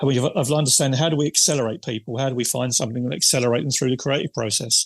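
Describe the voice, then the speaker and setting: Somewhat breathy, the voice races at a very fast pace with ordinary pitch variation in a dry, close sound with no echo. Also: man, medium pitch for a man. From London, England (Cockney). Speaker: figure painter, creative industry stylist. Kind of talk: podcast interview. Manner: rambling, easily sidetracked.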